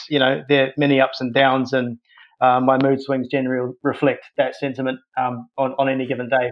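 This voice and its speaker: A man with a New Zealand accent talks at a moderate pace. His medium pitch stays monotone and flat. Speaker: podcast guest. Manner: casual, conversational.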